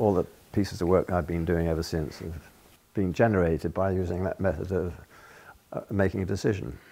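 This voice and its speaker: With a British accent, a man speaks in a very deep, low pitch and a dark, mellow tone, moving at a fairly quick pace with fairly even intonation. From Britain. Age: 80s+. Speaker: painter. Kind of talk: documentary interview answer. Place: studio. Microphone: lapel.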